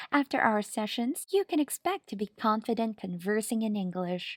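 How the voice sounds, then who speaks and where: Pitched fairly high, a woman uses an ordinary speaking voice with lively intonation at a moderate pace, captured dry and close with no echo on a very clean recording against a silent background. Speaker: online English teacher. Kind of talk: teacher self-introduction audio sample. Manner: cheerful, clear articulation.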